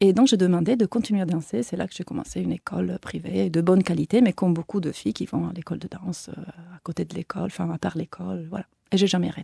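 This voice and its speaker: A woman talks at a very fast pace with a slight Italian accent. She hardly pauses at all. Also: dry, close sound with no echo. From Italy, Turin. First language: Italian (speaking French). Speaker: choreographer and dancer. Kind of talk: interview.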